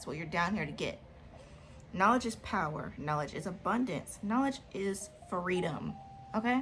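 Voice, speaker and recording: Amid noticeable background noise, a woman at a medium pitch for a woman uses lively intonation, big swings in loudness and long, frequent pauses. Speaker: video diary vlogger. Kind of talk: casual monologue giving advice. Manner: fast.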